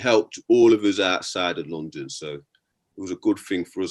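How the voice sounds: A man talks at a moderate pace in a low pitch. His tone is slightly mellow and his intonation lively.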